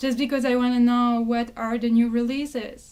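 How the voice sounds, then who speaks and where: Over music in the background, a woman with a non-native accent speaks at a high pitch. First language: not English. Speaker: booktuber. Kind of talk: casual talk to camera.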